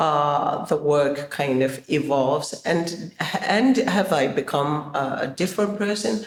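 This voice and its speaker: A woman's very deep, low voice, with lively intonation and a very slow pace. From Zimbabwe. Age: 60s. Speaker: choreographer and performer. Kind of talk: interview. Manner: halting, many fillers.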